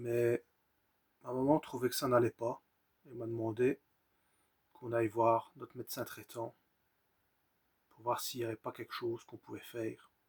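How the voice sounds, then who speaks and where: A somewhat breathy man at medium pitch, monotone and flat, moderate in pace with long, frequent pauses and big swings in loudness, in a dry, close sound with no echo. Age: 30s. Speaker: vlogger sharing personal mental health story. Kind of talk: personal testimony. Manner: halting.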